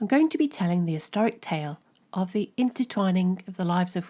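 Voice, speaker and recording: Speaking at a fairly quick pace, a woman with a medium-pitched, somewhat breathy voice and a dark, mellow tone uses lively intonation on a very clean recording with a silent background. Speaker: artist, podcast host. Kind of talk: podcast introduction.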